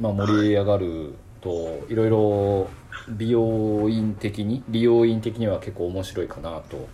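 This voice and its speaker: This man has an ordinary speaking voice, fairly low in pitch, with ordinary pitch variation. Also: fairly slow pace. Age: 40s. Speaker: salon owner podcast host. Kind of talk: casual chat. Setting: video call.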